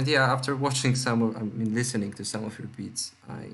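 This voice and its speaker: This man speaks at a fairly slow pace in a monotone, flat intonation. His pitch sits in the medium range. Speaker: music producer tutorial youtuber. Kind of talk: tutorial. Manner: hesitant, many fillers; speaking louder and more clearly. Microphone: laptop mic, cutting out, laptop noise.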